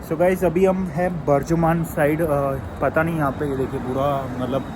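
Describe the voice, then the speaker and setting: There is audible room echo and noticeable background noise. Through it, a man speaks at a fairly high pitch. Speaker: travel vlogger. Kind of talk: casual vlog narration. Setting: airport. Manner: soft-spoken, speaking quietly.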